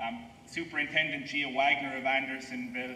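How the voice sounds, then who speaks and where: Spoken with an Irish accent and fairly even intonation, the voice comes through light background noise and audible room echo. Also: man. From Ireland. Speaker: historian. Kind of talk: ceremonial speech. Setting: outdoors. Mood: solemn, respectful. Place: open country. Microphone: podium.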